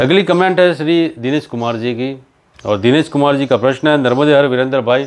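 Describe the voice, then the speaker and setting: A man is speaking at a moderate pace. His pitch variation is ordinary. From Rajasthan, India. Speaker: pilgrim vlogger. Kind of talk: Q&A answering viewer comments. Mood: calm, devotional, friendly. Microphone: lapel.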